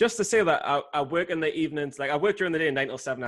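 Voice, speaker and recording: In a British accent, a man speaks very fast in a fairly high pitch. His pitch varies in an ordinary way, and the background is quiet. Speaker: podcast guest or co-host, trader.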